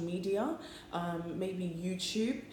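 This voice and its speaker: Against noticeable background noise and audible room echo, a woman speaks. Her pitch is medium and varies in an ordinary way. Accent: British. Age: 20s. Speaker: apprentice election candidate. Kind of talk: campaign speech. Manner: hesitant, frequent ums.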